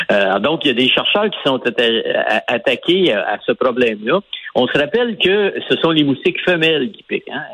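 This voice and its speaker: A man's fairly high voice at a moderate pace, with very wide pitch swings and music in the background. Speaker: biochemist and newspaper columnist. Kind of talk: radio interview explaining science. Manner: halting, many repetitions.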